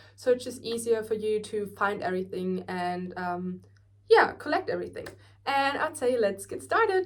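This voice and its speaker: A woman with a German accent, at a moderate pace. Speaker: beauty vlogger. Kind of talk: tutorial. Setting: bedroom at grandparents' house. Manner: casual, filler-heavy.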